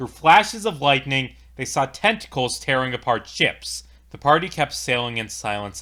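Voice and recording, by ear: The passage is read aloud in a natural voice.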